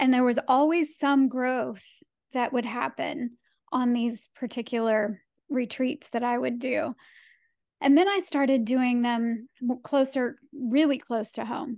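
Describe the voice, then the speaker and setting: Against a quiet background, a woman with a high pitch talks at a fairly slow pace with ordinary pitch variation. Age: 50s. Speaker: wellness podcast host. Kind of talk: casual interview chat.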